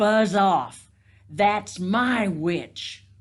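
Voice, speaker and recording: A woman uses a put-on character voice at a medium pitch. It comes out croaky, shrill and growling. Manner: fierce, commanding.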